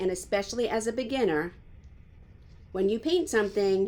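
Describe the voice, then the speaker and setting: A woman with a Long Island accent talks at a medium pitch. Her tone is dark and mellow, her intonation lively. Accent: New York Long Island. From New York, Long Island. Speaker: art teacher. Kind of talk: live painting tutorial. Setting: home, live stream.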